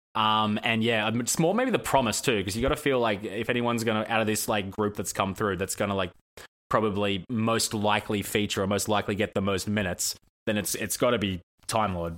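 A man talks at a fairly quick pace in an ordinary speaking voice, with fairly even intonation and a fairly low pitch. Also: very clean recording, silent background. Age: 30s. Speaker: basketball podcast panelist. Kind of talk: casual chat.

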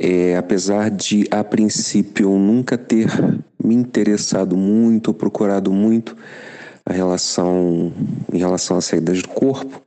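Over noticeable background noise, a man with a fairly low voice talks at a fairly slow pace with fairly even intonation and long, frequent pauses. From Rio de Janeiro, Brazil. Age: 50s. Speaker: listener sharing experience. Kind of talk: recorded voice message testimony.

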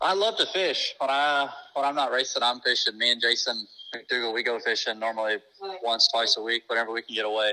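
A man with an American accent speaks fairly quickly in a bright, sharp tone with ordinary pitch variation. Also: medium pitch for a man. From Indiana, US Midwest. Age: 20s. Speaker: race car driver. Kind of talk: casual interview.

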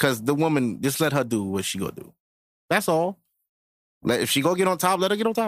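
Very wide pitch swings mark this man's fairly quick speech, broken by long, frequent pauses. The recording is very clean, with a silent background. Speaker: podcast host. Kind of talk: casual chat.

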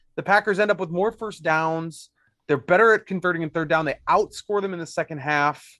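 With an American accent, a man speaks at a high pitch in a bright, sharp tone, keeping ordinary pitch variation at a fairly quick pace against a quiet background. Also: dry, close sound with no echo. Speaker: sports reporter. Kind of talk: casual chat.

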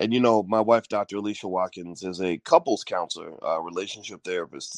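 A man at a fairly quick pace, intonation fairly even, in a dry, close sound with no echo

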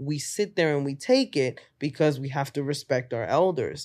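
Someone with a New York accent speaks at a moderate pace against a quiet background. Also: woman. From Bronx, New York. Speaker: stand-up comedian. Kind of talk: casual chat. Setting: podcast interview.

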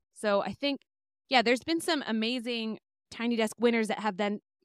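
With a plain, everyday voice, a woman speaks at a moderate pace and fairly high pitch with ordinary pitch variation, in a very clean recording with a silent background and a dry, close sound with no echo. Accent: American. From US, Bay Area, northern California. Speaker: musician and music teacher. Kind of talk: interview.

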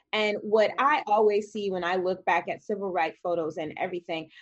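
In an ordinary speaking voice, a woman with an American accent talks at a fairly quick pace and a medium pitch. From US Midwest, Madison, Wisconsin. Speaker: panelist. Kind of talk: panel discussion.

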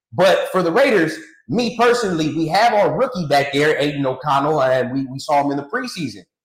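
With an American accent, a man talks at a fairly quick pace and a fairly high pitch, swinging very widely in pitch. Room echo is audible. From California. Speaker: sports podcaster. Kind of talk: casual chat.

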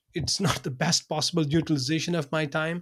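A man in a Pakistani accent speaks at a moderate pace. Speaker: academic and content creator. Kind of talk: interview conversation. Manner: halting, many fillers and repetitions.

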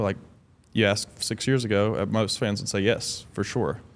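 A man speaks in a plain, everyday voice at a moderate pace, fairly low in pitch with fairly even intonation. The recording is very clean, with a silent background. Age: 30s. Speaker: pro basketball player. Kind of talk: interview. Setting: studio.

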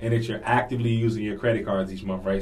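Here a man with an American accent talks at a fairly low pitch with ordinary pitch variation. Audible room echo and noticeable background noise come through. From Washington D.C. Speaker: financial literacy coach. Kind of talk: casual interview. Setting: studio.

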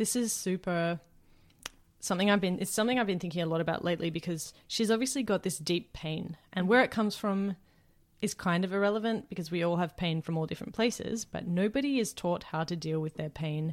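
A woman with an Australian accent speaks at a fairly quick pace and a medium pitch, with ordinary pitch variation, on a very clean recording with a silent background. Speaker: podcast co-host and music enthusiast. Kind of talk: casual chat.

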